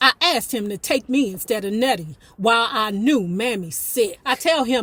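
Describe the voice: The text is given as plain reading aloud. Nothing more is added to the reading.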